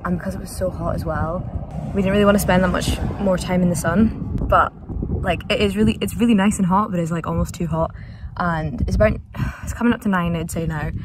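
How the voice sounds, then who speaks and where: At a fairly quick pace, a woman talks with a dry sound and no echo over noticeable background noise. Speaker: travel vlogger. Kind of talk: casual vlog chat. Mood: relaxed, cheerful. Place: car. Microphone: phone near.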